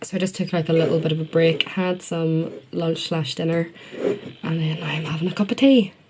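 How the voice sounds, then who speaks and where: A woman with a Northern Irish accent speaks at a moderate pace with hardly any pauses. Her pitch is fairly low with ordinary variation, and background noise is noticeable. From Northern Ireland. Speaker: university student and beauty vlogger. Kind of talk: casual vlog narration. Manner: chatty, informal.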